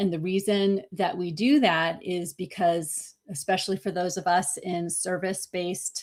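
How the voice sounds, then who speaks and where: A woman at a medium pitch and moderate pace, with hardly any pauses. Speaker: podcast host and business coach. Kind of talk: teaching monologue. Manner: animated.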